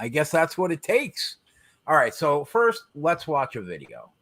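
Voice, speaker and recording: A man speaks in a high pitch with a bright, sharp tone. His intonation is lively. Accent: New Jersey. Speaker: podcast co-host. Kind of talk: casual chat.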